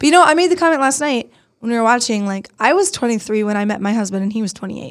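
A woman's fairly high voice, a plain, everyday voice, with lively intonation. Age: 30s. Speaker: podcast host. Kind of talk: casual chat.

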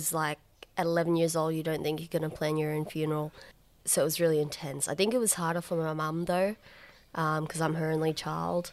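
A woman speaks with an Australian accent at a fairly quick pace, her pitch fairly low and her intonation fairly even. The recording is very clean, with a silent background. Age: 20s. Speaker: organ transplant recipient, psychology student and comedian. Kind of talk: interview. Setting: at home, backyard.

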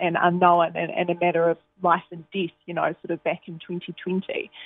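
A woman speaks in a New Zealand accent. Her pitch is fairly low and her pace moderate. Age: 20s. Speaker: newspaper reporter. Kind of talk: radio interview.

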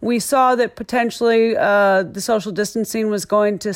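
In an American accent, a woman with a normal speaking voice talks at a moderate pace and a fairly high pitch. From US Midwest (Iowa). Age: 50s. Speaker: golf professional. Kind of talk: interview. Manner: casual, with many fillers.

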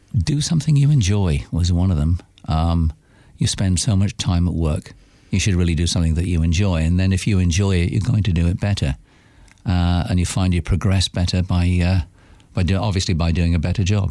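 With a British accent, a man talks at a fairly quick pace in a very deep, low pitch. His tone is dark and mellow, with ordinary pitch variation. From United Kingdom. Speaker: businessman.

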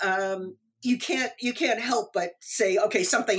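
Using a plain, everyday voice, a woman with an American accent speaks at a moderate pace in a fairly high pitch. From New York City suburbs. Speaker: author. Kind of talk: interview.

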